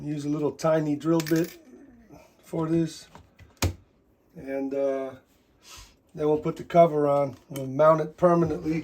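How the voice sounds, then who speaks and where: Long pauses come often. Between them, the words arrive fairly slowly. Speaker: DIY animatronics repair youtuber. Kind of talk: tutorial. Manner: loud; casual, rambling with fillers.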